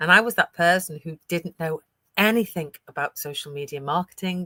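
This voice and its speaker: A woman speaks with a British accent and a fairly low pitch. The sound is dry and close with no echo, and her tone is bright and sharp. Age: 60s. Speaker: digital business owner. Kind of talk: live stream interview. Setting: live stream.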